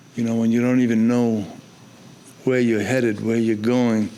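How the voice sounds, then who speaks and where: Noticeable background noise is present. The room echo is audible as well. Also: man. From New York City, South Bronx. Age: 80s+. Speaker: photojournalist. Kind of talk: interview conversation. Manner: halting.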